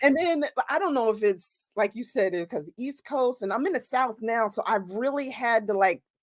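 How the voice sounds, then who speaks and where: A woman with an American accent speaks in a plain, everyday voice at a fairly high pitch, her intonation lively. She keeps a moderate pace with hardly any pauses, and the recording is very clean with a silent background. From New Jersey. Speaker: romance author. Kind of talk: casual chat.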